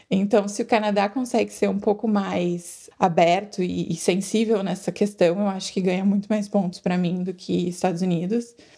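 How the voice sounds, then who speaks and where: Her tone is dark and mellow, and somewhat breathy. The woman talks at a moderate pace with ordinary pitch variation. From Brazil. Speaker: emigrant interviewee. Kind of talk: interview.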